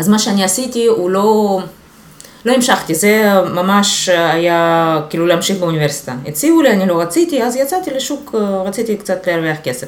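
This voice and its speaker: With a Russian accent, a woman talks at a moderate pace with lively intonation, and room echo is audible. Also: medium pitch for a woman. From Ukraine, Luhansk region. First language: Russian (speaking Hebrew). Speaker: SEO specialist. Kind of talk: casual interview.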